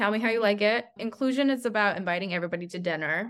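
A woman with a normal speaking voice talks at medium pitch with ordinary pitch variation, in a very clean recording with a silent background. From New Mexico, US (Albuquerque), born in China. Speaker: marketing agency CEO. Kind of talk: interview.

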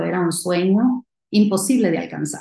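A woman speaks at a moderate pace with a dark, mellow tone. Her pitch is fairly low. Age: 40s. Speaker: company CEO. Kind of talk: interview.

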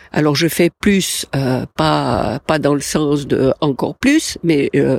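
A woman's very deep, low voice with vocal fry, at a very slow pace, dry and close with no echo. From Switzerland, Valais. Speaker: life coach podcaster. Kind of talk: solo podcast talk. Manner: hesitant, many fillers.

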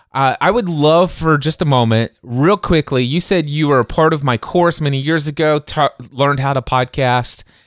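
In a very clean recording with a silent background and a dry, close sound with no echo, a man with a normal speaking voice and fairly high pitch talks at a moderate pace, his pitch variation ordinary and his loudness very even. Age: 40s. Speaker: podcast host. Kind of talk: casual chat.

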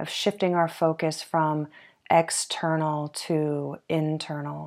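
Over a very clean recording with a silent background, a woman talks in a soothing, gentle tone at a very deep, low pitch. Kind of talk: guided meditation. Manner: slow, soothing, gentle pacing with long pauses; calm, soft-spoken.

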